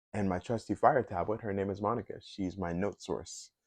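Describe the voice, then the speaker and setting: This man's fairly low voice comes across dry and close with no echo, over a quiet background. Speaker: YouTuber. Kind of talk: casual vlog monologue. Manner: halting, many filler words and pauses. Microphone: new mic set.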